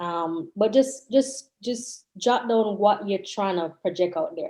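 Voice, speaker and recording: At a very slow pace, a woman talks with a medium pitch and ordinary pitch variation. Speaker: real estate agent. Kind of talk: panel discussion.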